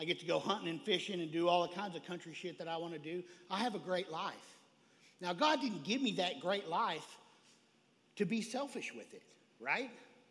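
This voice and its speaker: In a Texan accent, a man talks fairly quickly at a high pitch with lively intonation. His loudness swings widely, and he takes long, frequent pauses. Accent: Texan Southern US. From Texas, rural small town. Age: 40s. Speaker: recovery speaker, recovering drug addict. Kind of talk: recovery testimony talk at a convention. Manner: animated, fired up.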